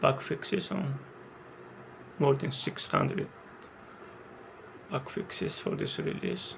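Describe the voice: A man with a strong non-native accent, vocal fry, very wide pitch swings and a very slow pace. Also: medium pitch for a man.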